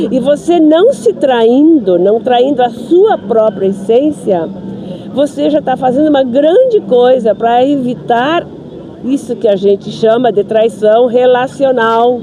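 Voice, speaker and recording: The speech comes very slowly with lively intonation and very even loudness. Noticeable background noise runs underneath. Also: woman, high pitch for a woman. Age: 60s. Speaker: spiritist speaker, interviewee. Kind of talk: street interview. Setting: outdoors in a park.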